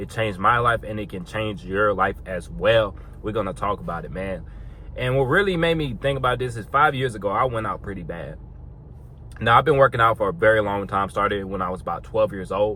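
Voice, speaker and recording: Fairly low in pitch with vocal fry, a man talks at a fairly quick pace in a bright, sharp tone with ordinary pitch variation. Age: 20s. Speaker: fitness vlogger. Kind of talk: casual vlog monologue.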